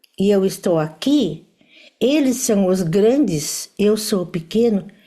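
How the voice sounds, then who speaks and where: A woman speaks at a very slow pace, her pitch fairly high and her intonation lively. The tone is dark and mellow, somewhat breathy. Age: 70s. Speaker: family constellation teacher. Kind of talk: lecture. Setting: live stream with audience.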